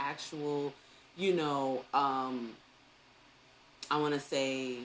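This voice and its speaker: A woman with a New York accent speaks in an animated tone. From New York City. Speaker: early education teacher and online talk host. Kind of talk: live online talk. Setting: live stream on social media.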